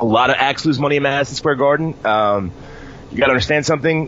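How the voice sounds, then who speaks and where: A normal speaking voice from a man, fairly high in pitch and ordinary in its pitch movement. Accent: American. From New York. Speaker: wrestling podcast host. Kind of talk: casual chat.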